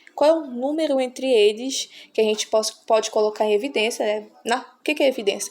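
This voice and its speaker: Female speech at a moderate speed, ordinary rises and falls in pitch, noticeable noise behind it. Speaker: math teacher. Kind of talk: tutorial.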